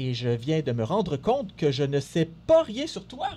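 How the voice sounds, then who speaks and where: A man with a fairly high pitch speaks in a normal speaking voice. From Montreal, Quebec. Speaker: radio co-host, health network development officer. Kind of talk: scripted radio show presentation. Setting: radio studio.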